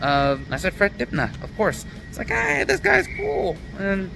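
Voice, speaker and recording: Music plays behind a man with an American accent. He talks at a moderate pace with ordinary pitch variation. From United States. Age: 30s. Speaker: travel vlogger. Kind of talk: vlog narration. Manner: casual.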